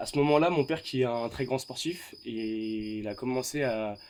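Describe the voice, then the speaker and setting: Recorded very cleanly against a silent background, a man talks at a medium pitch with ordinary pitch variation. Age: 20s. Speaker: fitness coach and student. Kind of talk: interview. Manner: hesitant, many fillers.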